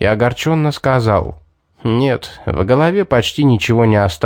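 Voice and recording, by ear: The voice reads aloud naturally. Nothing much can be heard behind it.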